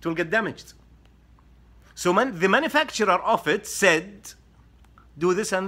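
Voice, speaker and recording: A man talks at a moderate pace with a bright, sharp tone. His pitch is high. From Saudi Arabia. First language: Arabic. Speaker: social media commentator. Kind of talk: explainer monologue to camera.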